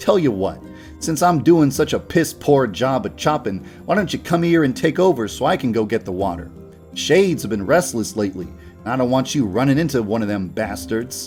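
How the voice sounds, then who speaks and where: In a gruff, put-on character voice, the speaker swings very widely in pitch at a fairly quick pace. Clear music plays in the background. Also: man, medium pitch for a man. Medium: read story. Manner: gruff, cursing.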